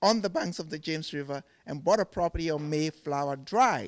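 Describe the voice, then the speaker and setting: A man speaks with a Ghanaian accent at a moderate pace, his pitch varying in an ordinary way. The recording is very clean with a silent background and a dry, close sound with no echo. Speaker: furniture maker. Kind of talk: TV interview. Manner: repeats words, halting starts.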